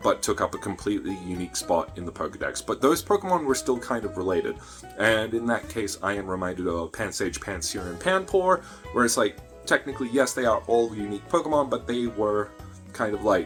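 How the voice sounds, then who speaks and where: With music playing behind him, a man with a fairly low pitch speaks fairly quickly and with lively intonation. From Australia. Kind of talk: casual talk to camera. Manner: upbeat, chatty.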